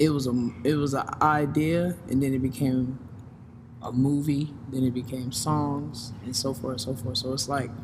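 This man speaks at a fairly high pitch, and his voice is somewhat breathy.

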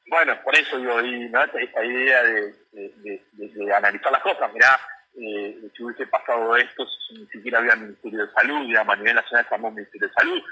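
A man's fairly quick speech with big swings in loudness. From Buenos Aires suburbs (Lomas de Zamora). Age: 30s. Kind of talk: radio interview.

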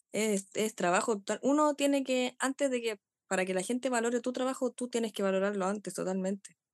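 A woman speaks with a Chilean accent at a fairly quick pace. Her pitch is fairly high, with ordinary variation. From Chile, Pichilemo. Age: 20s. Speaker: dancer. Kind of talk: interview.

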